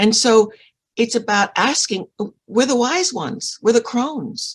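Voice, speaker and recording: Vocal fry runs through a moderately paced delivery with a dry, close sound and no echo. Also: woman. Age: 70s. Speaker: author and book publisher. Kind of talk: casual interview chat. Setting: live online show with chat. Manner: halting, repeating words.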